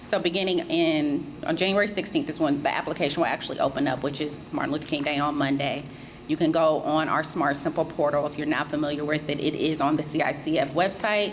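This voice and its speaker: A woman speaks very fast in a very deep, low voice with fairly even intonation over noticeable background noise. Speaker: grant program presenter. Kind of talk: public information session presentation.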